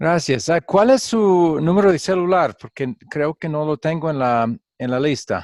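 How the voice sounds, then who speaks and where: With a dry, close sound and no echo, a man with a fairly high pitch uses lively intonation at a fairly slow pace. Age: 60s. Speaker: pastor and Bible teacher. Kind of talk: online class lecture. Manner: halting, with frequent fillers.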